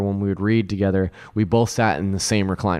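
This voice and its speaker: A very fast, monotone man's voice with flat intonation and an American accent. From California, Central Valley (Lodi). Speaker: video producer. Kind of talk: storytelling; casual chat.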